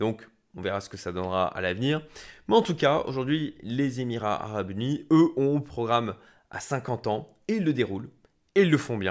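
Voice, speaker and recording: The delivery has lively intonation at a moderate pace. The recording is very clean, with a silent background. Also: man, medium pitch for a man. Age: 40s. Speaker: startup investor. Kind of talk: business analysis talk. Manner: hesitant, many fillers.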